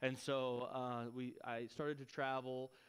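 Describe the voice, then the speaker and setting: This man has a West Texas accent and a medium pitch. His intonation is monotone and flat. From Texas (Lubbock). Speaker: missionary. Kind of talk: church talk, testimony. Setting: church with audience. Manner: casual.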